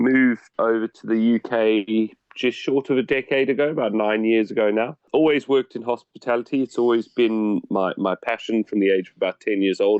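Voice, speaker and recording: Here a man speaks with a South African accent at a medium pitch. His intonation stays fairly even. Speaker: hotel deputy manager. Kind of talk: podcast interview.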